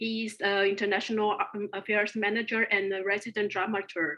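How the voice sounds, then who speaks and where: A woman speaks at medium pitch in a bright, sharp tone. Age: 40s. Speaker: circus curator and moderator. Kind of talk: webinar panel moderation.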